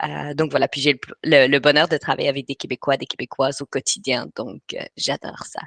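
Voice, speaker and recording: The speech moves at a fairly quick pace with hardly any pauses and big swings in loudness. The sound is dry and close with no echo over a quiet background. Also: woman. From Belgium, Brussels. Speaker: writing coach. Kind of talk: webinar presentation. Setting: live online webinar. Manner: hesitant, many filler sounds.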